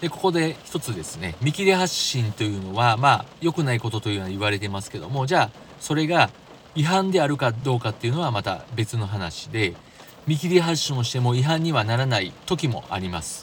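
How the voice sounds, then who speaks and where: The voice moves at a fairly quick pace with very wide pitch swings. Noticeable background noise runs underneath. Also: man, medium pitch for a man. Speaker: driving podcast host. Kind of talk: solo podcast talk.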